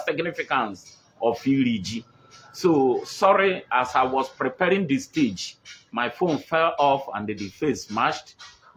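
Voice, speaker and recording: At a moderate pace, a man with a Nigerian accent speaks with very wide pitch swings. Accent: Nigerian Igbo English. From Nigeria, Igbo (Onitsha Igbeze area). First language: Igbo. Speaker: livestream host on culture and tradition. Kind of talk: live-streamed cultural talk. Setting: live stream on a phone. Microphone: poor network connection.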